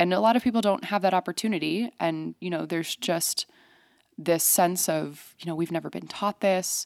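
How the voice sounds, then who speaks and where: Speaking at a moderate pace, a woman has an unremarkable speaking voice with a fairly low pitch and ordinary pitch variation. The sound is dry and close with no echo, on a very clean recording with a silent background. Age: 20s. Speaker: financial coach. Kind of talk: casual chat. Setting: studio.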